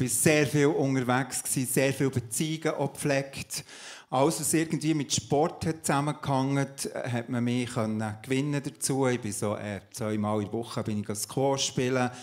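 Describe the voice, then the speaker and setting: In a quiet background, a man with a medium pitch speaks at a moderate pace. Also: ordinary pitch variation. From Switzerland, Emmental (Bern); Switzerland. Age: 50s. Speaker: pastor and coach; pastor, coach. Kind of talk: testimony in a church talk service. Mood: earnest, personal testimony. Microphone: handheld.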